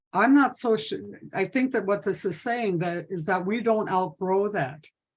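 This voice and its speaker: A woman speaks in an ordinary speaking voice at medium pitch. She goes at a fairly slow pace with ordinary pitch variation. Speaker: domestic violence prevention trainer. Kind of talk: webinar presentation.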